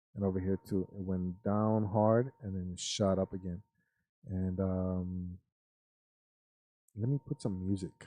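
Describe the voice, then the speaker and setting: A man with a very deep, low pitch and a dark, mellow tone, fairly slow with long, frequent pauses and fairly even intonation, dry and close with no echo. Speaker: finance youtuber. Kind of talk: live stream talk. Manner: monotone; flat.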